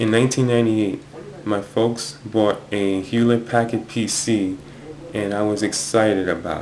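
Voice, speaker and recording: A man speaks at a moderate pace in a fairly low voice. Noticeable background noise sits behind him. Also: fairly even intonation. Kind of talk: personal talk to camera. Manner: stutters.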